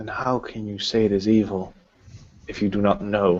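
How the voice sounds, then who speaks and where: Moderately paced, fairly low-pitched speech from a man doing a put-on character voice. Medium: actual play. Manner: commanding, interrogating.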